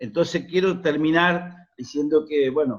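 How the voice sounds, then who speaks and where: A man speaks fairly slowly in a normal speaking voice. His pitch is fairly high, with ordinary variation. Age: 60s. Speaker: union activist. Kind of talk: forum contribution.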